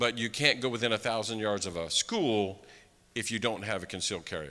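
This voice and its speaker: Bright and sharp in tone, a man's fairly low voice moves with ordinary pitch variation. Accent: American. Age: 60s. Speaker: conference speaker. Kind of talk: conference talk. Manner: conversational, with fillers.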